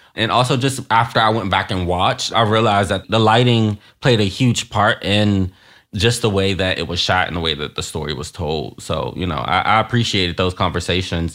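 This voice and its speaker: Very deep and low, this man's voice has a bright, sharp tone and vocal fry, moving at a fairly quick pace over a very clean recording with a silent background. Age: 20s. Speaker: hairstylist. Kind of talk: interview.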